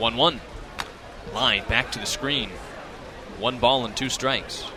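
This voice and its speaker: Over noticeable background noise, a man at a medium pitch speaks with fairly even intonation. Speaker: sports broadcaster. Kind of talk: baseball radio play-by-play.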